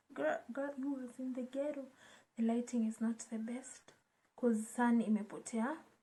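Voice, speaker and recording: With a Kenyan accent, a woman speaks at a moderate pace in a high voice with a dark, mellow tone. Her intonation is fairly even. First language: Swahili. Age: 20s. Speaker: YouTuber. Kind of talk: casual vlog chat. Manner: code-switching between English and Swahili.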